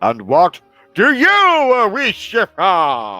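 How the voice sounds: Over faint background music, a man uses a put-on character voice pitched high.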